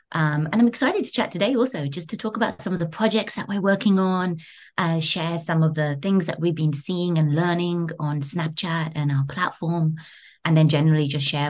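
A woman with a London accent, very deep and low in pitch, at a fairly quick pace with ordinary pitch variation. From London, England. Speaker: creative studio director. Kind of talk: interview.

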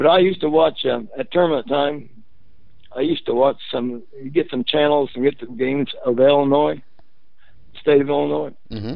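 A man with a Midwestern US accent, fairly high pitch and long, frequent pauses. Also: ordinary pitch variation, moderate pace. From Indiana, Muncie. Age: 70s. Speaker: former basketball player. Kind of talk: interview. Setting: phone call.

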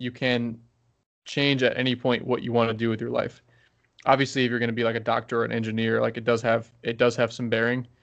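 A man talks at medium pitch and a fairly quick pace. His intonation is monotone and flat. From Baltimore, Maryland, US. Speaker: former pro pitcher and pitching coach. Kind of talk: interview.

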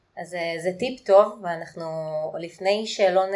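Pitch rises and falls in an ordinary way, at a moderate speed. It is an unremarkable speaking voice. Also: woman. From Israel. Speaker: podcast host. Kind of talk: interview.

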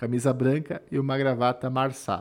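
On a very clean recording with a silent background, a man speaks at a fairly slow pace. He talks with a slight gaúcho accent. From southern Brazil. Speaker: podcast host. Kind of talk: casual chat.

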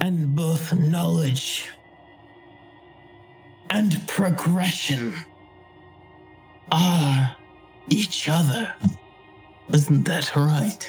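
In a loud, put-on character voice at a middle pitch, the speaker goes at a very slow pace with long, frequent pauses over clear background music. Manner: loud, lecturing, sinister.

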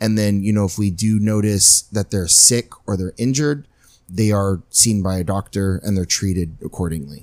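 Dark, mellow, fairly low male voice with an American accent, moderate pace and ordinary pitch variation. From Imperial County, southern California. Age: 30s. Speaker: animal shelter director. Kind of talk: casual interview. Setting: health club facility.

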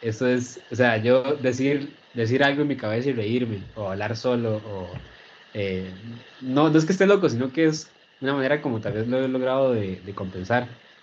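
With a plain, everyday voice, a man speaks moderately fast, his medium pitch showing ordinary variation. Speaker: neuro-linguistic programming practitioner. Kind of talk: casual interview chat.

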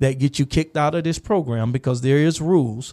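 In a dry, close sound with no echo, a man with a dark, mellow tone talks at a fairly quick pace and fairly high pitch. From US South, Gainesville, Florida. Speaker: youth mentor and educator. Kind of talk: casual chat. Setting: studio.

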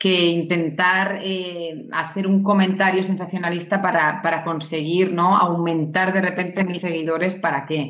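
In a Castilian accent, a woman speaks at a fairly slow pace with a fairly low pitch and fairly even intonation. Audible room echo surrounds her voice. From Navarra, Spain. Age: 30s. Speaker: pediatric nurse. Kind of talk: interview. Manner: hesitant with repetitions.

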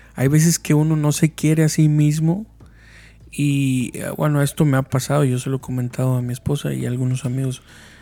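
At a fairly quick pace, a man with a fairly high pitch and a dark, mellow tone speaks with fairly even intonation. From Mexico. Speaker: podcast host. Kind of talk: casual chat.

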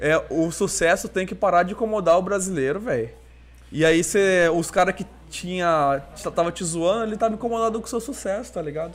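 With a high pitch and ordinary pitch variation, a man talks at a fairly quick pace. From Brazil, Cuiabá. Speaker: podcast host. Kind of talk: casual chat.

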